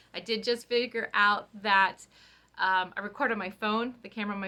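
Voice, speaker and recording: With a bright, sharp tone, a woman speaks at a moderate pace in a medium pitch and fairly even intonation. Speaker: cross-stitch vlogger. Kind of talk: casual chat.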